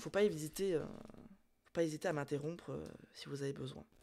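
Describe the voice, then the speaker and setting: On a very clean recording with a silent background, a woman talks with lively intonation. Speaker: streamer. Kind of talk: casual chat. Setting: live stream. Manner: hesitant, many fillers.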